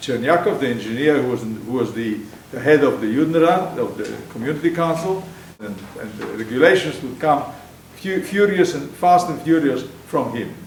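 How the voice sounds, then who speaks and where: A man with a fairly high pitch speaks at a moderate pace, his intonation lively and his loudness swinging widely. Audible room echo and noticeable background noise surround him. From Poland. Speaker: Holocaust survivor. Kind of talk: testimony. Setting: stage with audience. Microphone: speaking without a microphone.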